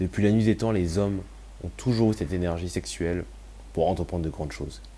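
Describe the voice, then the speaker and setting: A man with a very deep, low voice and a dark, mellow tone talks very fast with ordinary pitch variation and long, frequent pauses. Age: 20s. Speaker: podcast host sharing personal story. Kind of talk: personal testimony monologue.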